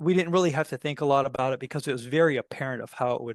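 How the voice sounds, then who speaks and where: A man with an American accent talks at a fairly high pitch with ordinary pitch variation. The sound is dry and close with no echo, over a quiet background. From US South. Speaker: tech company CEO. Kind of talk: interview.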